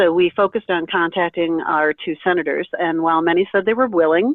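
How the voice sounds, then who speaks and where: A normal speaking voice, delivered at a fairly quick pace. Its pitch rises and falls in an ordinary way. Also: woman. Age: 50s. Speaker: kidney transplant recipient and advocate. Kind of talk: presentation on a conference call.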